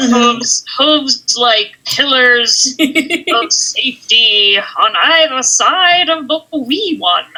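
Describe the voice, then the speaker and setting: A woman uses a put-on character voice pitched high. She goes very slowly, with hardly any pauses and very even loudness. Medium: actual play.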